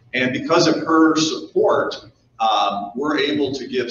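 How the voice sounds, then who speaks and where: With audible room echo and light background noise, a man speaks at a moderate pace. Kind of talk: speech to business audience. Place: hall. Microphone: podium.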